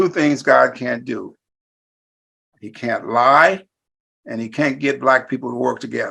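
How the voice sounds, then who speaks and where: With a bright, sharp tone and vocal fry, this voice moves at a fairly slow pace, swinging widely in loudness and leaving long, frequent pauses. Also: man. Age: 70s. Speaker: talk show host. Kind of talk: casual interview chat.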